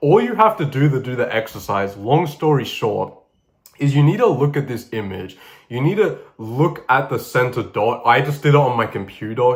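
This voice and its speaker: Animated, somewhat breathy male voice at a moderate pace with ordinary pitch variation. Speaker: YouTuber. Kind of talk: tutorial. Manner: casual, animated.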